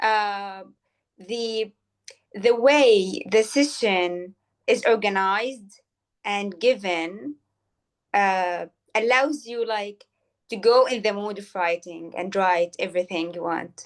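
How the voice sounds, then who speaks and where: A woman with a non-native accent speaks at a very slow pace and medium pitch, with ordinary pitch variation. Her loudness swings widely, and she leaves long, frequent pauses. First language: not Arabic. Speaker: poetry program co-leader. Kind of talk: interview conversation. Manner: hesitant, many fillers.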